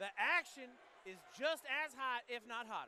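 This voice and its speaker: An excited, energetic man with an extremely high pitch projects a raised voice with ordinary pitch variation. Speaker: MMA commentator and analyst. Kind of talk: live MMA color commentary. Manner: excited, energetic broadcast delivery.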